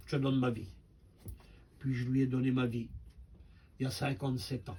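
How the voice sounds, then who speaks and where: With a dark, mellow tone and somewhat breathy delivery, the voice holds a fairly even intonation amid audible room echo. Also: man. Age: 70s. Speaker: preacher. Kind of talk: sermon.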